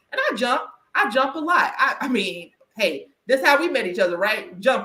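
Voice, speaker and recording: A woman's raised, projected voice, high-pitched and animated, with very wide pitch swings, a moderate pace and a slight Southern US accent. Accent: slight Southern country twang. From US South. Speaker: podcast host and career coach. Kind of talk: casual interview chat. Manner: animated, with frequent restarts.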